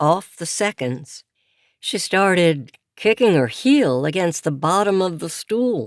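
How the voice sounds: Over a quiet background, the natural reading voice carries lively intonation.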